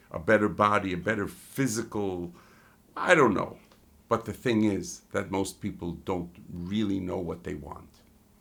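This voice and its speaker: This is a man with a fairly low pitch and an unremarkable speaking voice. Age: 60s. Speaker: life and business coach. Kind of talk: motivational talk to camera.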